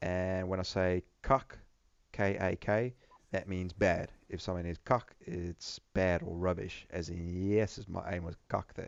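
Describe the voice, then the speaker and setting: Very deep and low in pitch, a man speaks at a fairly slow pace with fairly even intonation. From South Africa, Johannesburg. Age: 30s. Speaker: gaming YouTuber. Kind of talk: gameplay commentary. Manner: hesitant, many fillers.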